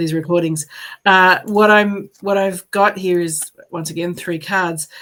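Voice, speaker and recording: The speaker has an ordinary speaking voice with fairly even intonation. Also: woman. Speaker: psychic medium. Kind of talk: live psychic card reading. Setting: live stream.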